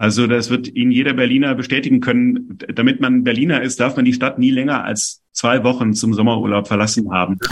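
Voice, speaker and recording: A plain, everyday voice from a man at medium pitch, fairly quick with hardly any pauses and fairly even intonation. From Stuttgart, Swabia. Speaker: author. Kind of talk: interview. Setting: video call.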